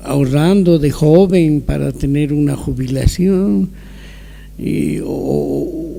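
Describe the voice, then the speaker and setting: A man talks over noticeable background noise. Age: 70s. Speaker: older adult giving testimony. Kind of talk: testimony. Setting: video call.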